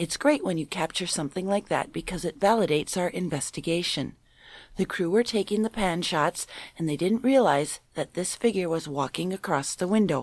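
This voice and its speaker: Speaking in a normal speaking voice with an American accent, a woman with a fairly low pitch talks at a moderate pace with lively intonation. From Minnesota. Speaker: paranormal enthusiast panelist. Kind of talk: reading news stories aloud.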